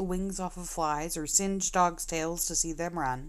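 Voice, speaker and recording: At a moderate pace, a woman is talking. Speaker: audiobook narrator. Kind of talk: reading aloud. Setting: live stream. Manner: occasional slips and self-corrections.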